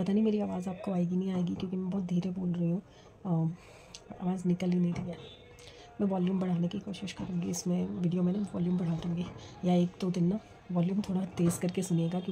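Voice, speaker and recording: A soft-spoken woman puts on a strained character voice at a medium pitch, talking at a fairly quick pace. Her intonation stays monotone and flat while music plays in the background. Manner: very soft, barely audible, strained.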